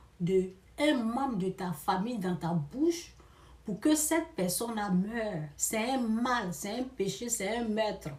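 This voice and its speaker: A woman talks at a very slow pace in a fairly high pitch, her intonation lively. Audible room echo surrounds her voice. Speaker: preacher. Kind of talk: sermon. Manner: emphatic, repetitive.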